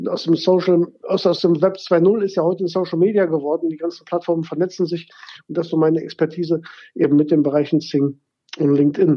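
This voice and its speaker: A man's high-pitched voice at a fairly quick pace, in a monotone, flat intonation. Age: 40s. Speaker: networking consultant and keynote speaker. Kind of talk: interview. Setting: phone call.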